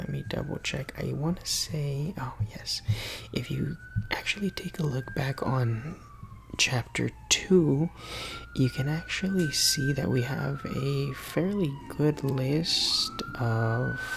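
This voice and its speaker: Over noticeable background noise, a soft-spoken man talks at a very slow pace. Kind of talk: ASMR physics tutoring roleplay.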